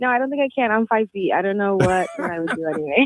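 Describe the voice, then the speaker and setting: Very wide pitch swings stand out in a dry, close sound with no echo, over noticeable background noise. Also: woman. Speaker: radio show caller. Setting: phone.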